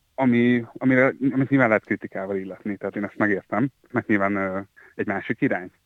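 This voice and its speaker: A man talks at a very fast pace in a fairly low pitch with ordinary pitch variation. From Hungary, Győr. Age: 30s. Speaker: journalist, former editor-in-chief. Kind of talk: interview. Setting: phone call.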